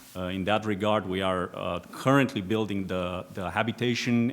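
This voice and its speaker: A man with a Romanian accent, fairly low-pitched, with fairly even intonation. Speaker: aerospace executive, former air force pilot. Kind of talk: panel discussion. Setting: conference stage with audience.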